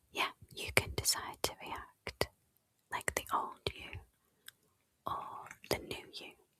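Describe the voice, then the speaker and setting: A woman whispering. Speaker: podcast host, coach. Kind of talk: whispered ASMR-style podcast conversation. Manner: whispered, soft, relaxing.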